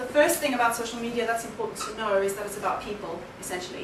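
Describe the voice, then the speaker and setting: The recording carries audible room echo. Background noise is noticeable throughout. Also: woman. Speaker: keynote speaker on social media. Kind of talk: conference presentation. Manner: fast.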